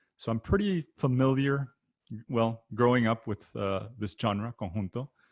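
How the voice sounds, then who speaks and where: The voice moves at a fairly slow pace with ordinary pitch variation. The sound is dry and close, with no echo. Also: man, medium pitch for a man. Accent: South Texas. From South Texas (Rio Grande Valley, Weslaco). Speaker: accordion product manager and performer. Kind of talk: panel discussion. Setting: video call. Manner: many fillers and restarts.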